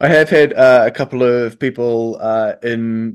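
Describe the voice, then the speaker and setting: Over a quiet background, a man with a New Zealand accent speaks at medium pitch with fairly even intonation. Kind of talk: interview.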